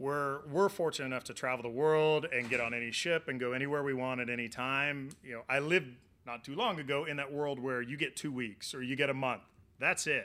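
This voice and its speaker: Spoken with a Southern Plains accent, the voice holds a fairly even intonation. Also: man, fairly high pitch for a man. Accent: Southern Plains American. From Oklahoma, US. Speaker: meteorologist, former TV weatherman. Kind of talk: interview.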